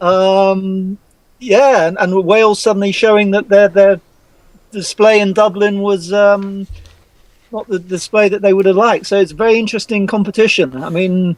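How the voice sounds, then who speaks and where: With an English accent, a man speaks at a moderate pace in a high pitch, his intonation fairly even. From England. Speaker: rugby journalist. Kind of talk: casual chat.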